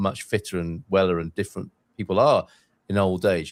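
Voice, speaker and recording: The background is completely silent in this very clean recording. A man does the talking. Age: 60s. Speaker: podcast host. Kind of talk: podcast interview.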